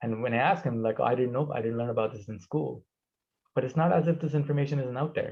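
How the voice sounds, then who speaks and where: A man with a non-native accent talks at a very fast pace, his voice somewhat breathy. His pitch is medium and varies in an ordinary way. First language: not English. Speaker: presenter. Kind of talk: Q&A discussion. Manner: repetitive, stumbling.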